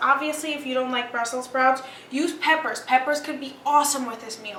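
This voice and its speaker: A woman's raised, projected voice, high in pitch, with ordinary pitch variation, audible room echo and noticeable background noise. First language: Greek. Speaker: cooking show host. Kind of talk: cooking tutorial. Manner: casual, chatty.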